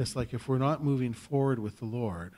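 A man with a Canadian accent talks at a moderate pace in a dark, mellow tone, his pitch varying in an ordinary way. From Saskatchewan, Canada. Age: 50s. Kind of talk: personal testimony talk; conference talk, personal testimony. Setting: stage with audience. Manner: conversational, hesitant with fillers. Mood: earnest, exhorting. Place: hall. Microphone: podium.

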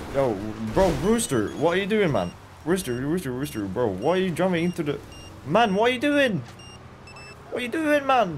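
With a high pitch and very wide pitch swings, a man talks at a moderate pace, leaving long, frequent pauses. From Norway. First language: Norwegian. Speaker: gaming streamer. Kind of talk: live gameplay stream. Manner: animated.

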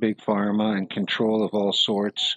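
A man speaks with a plain, everyday voice at a fairly slow pace. The background is quiet. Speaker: video commentator. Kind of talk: casual talk to camera. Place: home room. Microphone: headset.

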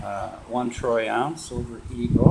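A man is speaking over loud background noise. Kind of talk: casual vlog chat. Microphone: phone near.

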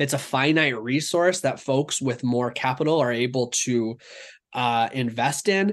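A plain, everyday voice speaks at a fairly slow pace with ordinary pitch variation and very even loudness against a quiet background. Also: man, medium pitch for a man. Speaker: food network organizer. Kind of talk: interview.

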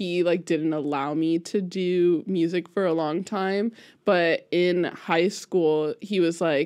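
A woman with fairly low pitch speaks at a very slow pace with fairly even intonation. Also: quiet background. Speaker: music teacher guest. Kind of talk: interview answer. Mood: relaxed, friendly. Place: studio. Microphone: studio mic.

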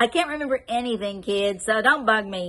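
The speaker uses a gruff, put-on character voice. The pace is fairly quick. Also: woman, fairly high pitch for a woman. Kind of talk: curt, dismissive. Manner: crabby, gruff, barking.

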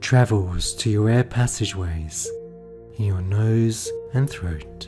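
A man speaks at a very slow pace. Music plays behind him. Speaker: meditation guide. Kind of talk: guided meditation. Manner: calm, slow-paced.

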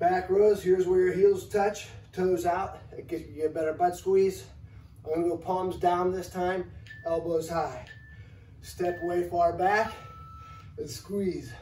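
A fairly slow pace with long, frequent pauses, ordinary pitch variation, light background noise and audible room echo. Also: man. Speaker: fitness coach. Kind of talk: tutorial. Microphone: camera far.

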